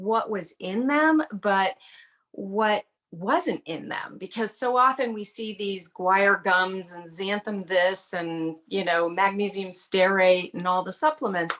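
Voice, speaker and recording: A woman talks at a fairly slow pace with lively intonation and a plain, everyday voice. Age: 60s. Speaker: health coach and author. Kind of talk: testimony. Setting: video call.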